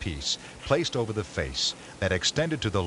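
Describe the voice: Someone reads the text out in a plain manner.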